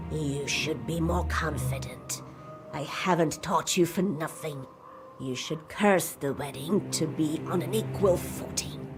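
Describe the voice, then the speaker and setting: Clear background music under a put-on character voice, delivered fairly slowly. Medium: game stream. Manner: commanding, sly.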